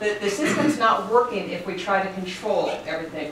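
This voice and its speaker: A woman at a moderate pace with ordinary pitch variation, amid audible room echo and light background noise. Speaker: lecturer. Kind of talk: lecture. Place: classroom. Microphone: camera far.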